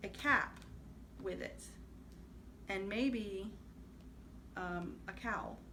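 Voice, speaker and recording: A woman talks with ordinary pitch variation. Audible room echo and noticeable background noise are present. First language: Spanish. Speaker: crafting vlogger. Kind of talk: casual vlog show-and-tell. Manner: hesitant, many fillers.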